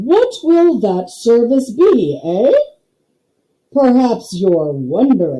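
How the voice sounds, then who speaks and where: A woman uses a put-on character voice at a fairly high pitch. She speaks at a very slow pace with very wide pitch swings. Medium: read story. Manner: slow, pompous, clipped phrases.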